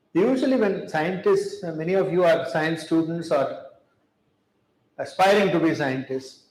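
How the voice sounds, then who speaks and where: In a room with audible echo, a man speaks at a high pitch and a moderate pace with ordinary pitch variation. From India. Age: 70s. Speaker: chemistry professor. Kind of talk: public talk. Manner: measured, with fillers.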